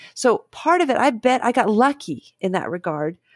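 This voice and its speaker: Here a woman speaks with an American accent. The recording is very clean, with a silent background. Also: dry, close sound with no echo. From Dayton, Ohio, US. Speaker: professor and author in psychology. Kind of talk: casual interview conversation.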